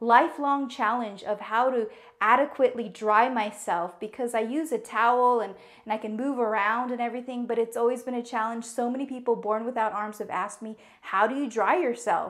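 A woman at a fairly quick pace with fairly even intonation against a quiet background. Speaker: home tour host. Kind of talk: casual tutorial vlog. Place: bathroom.

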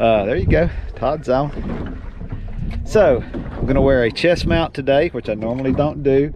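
There is noticeable background noise behind a man speaking at a moderate pace. The sound is dry, with no echo. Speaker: fishing vlogger. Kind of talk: casual vlog chat. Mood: cheerful, excited. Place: boat.

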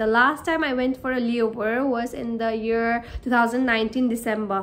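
At a moderate pace, a woman delivers her words. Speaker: cabin crew vlogger. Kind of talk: casual vlog chat. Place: home room. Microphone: phone near.

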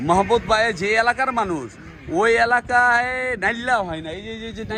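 Over music in the background, a man raises and projects his high voice, with ordinary pitch variation. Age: old. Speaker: farm owner and video blogger. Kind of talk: casual vlog narration and chat. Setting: outdoors on a farm.

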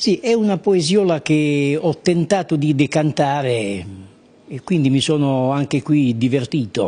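A man with a fairly high pitch and a dark, mellow tone talks at a fairly slow pace with lively intonation. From Apulia, Italy. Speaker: local dialect poet; interviewee. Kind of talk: interview answer. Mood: pleased, relaxed. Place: shop. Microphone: handheld.

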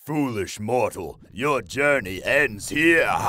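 Here a man puts on a character voice. It sits fairly high in pitch and moves at a very slow pace. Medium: voice reel.

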